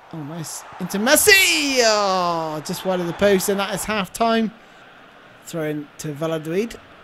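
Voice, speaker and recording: An animated woman speaks at a fairly slow pace, medium in pitch with ordinary pitch variation and big swings in loudness. Noticeable background noise runs underneath. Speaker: YouTube gamer. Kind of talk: gaming commentary, live play-by-play of a football video game. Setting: home recording, gameplay voiceover. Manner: excitable, animated, gushing over Messi's goal with breathless exclamations.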